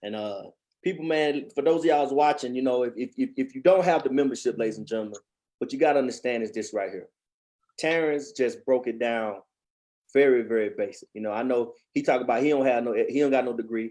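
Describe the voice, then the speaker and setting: Very fast speech comes from a man with a Texas accent and a dark, mellow tone. His pitch is medium, with ordinary variation. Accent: Southern US, Texas. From East Texas. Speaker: channel host, financial educator. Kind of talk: livestream chat. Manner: animated.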